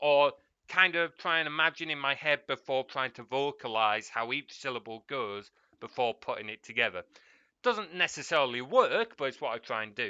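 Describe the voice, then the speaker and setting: With an English accent, a man speaks at a fairly high pitch. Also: lively intonation, moderate pace. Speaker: streamer. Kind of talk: casual chat. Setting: live stream.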